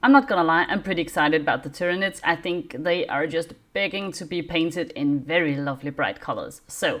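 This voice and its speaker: A woman with a non-native accent speaks in a fairly low pitch with hardly any pauses, on a very clean recording with a silent background. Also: ordinary pitch variation, fairly quick pace. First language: not English. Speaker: miniature wargaming YouTuber. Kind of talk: casual review; reading aloud. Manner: hesitant, many fillers.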